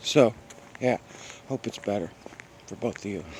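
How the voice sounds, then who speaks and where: Mumbling, a man speaks with ordinary pitch variation. Noticeable background noise comes through. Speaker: vlogger hiking outdoors. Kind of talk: casual vlog monologue while walking. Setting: outdoors on a forest trail. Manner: rambling with many fillers.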